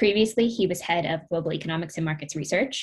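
Over a quiet background, a woman with a fairly low, somewhat breathy voice speaks with ordinary pitch variation. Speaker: panel moderator. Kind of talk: moderator introduction. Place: home room. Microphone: webcam.

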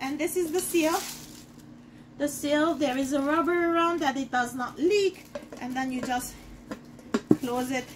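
A woman speaks at a fairly slow pace in a high pitch, with ordinary pitch variation.

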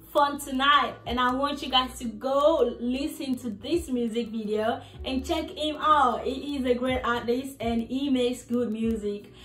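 Over faint background music and audible room echo, a woman speaks at a high pitch with ordinary pitch variation. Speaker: fitness vlogger. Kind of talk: casual vlog chat. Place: home room. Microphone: phone near.

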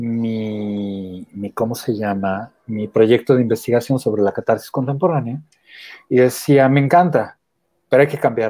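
A man with a French accent and a dark, mellow tone speaks at a fairly slow pace with fairly even intonation against a quiet background. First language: French (speaking Spanish). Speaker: theatre artist and academic; interviewee. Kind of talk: interview. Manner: halting, with restarts. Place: home room. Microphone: earbuds.

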